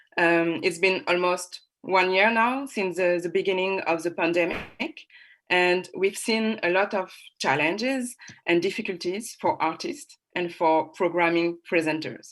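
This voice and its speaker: A woman with a French accent at a fairly slow pace. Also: medium pitch for a woman, ordinary pitch variation. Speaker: panel moderator. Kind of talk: online panel moderation.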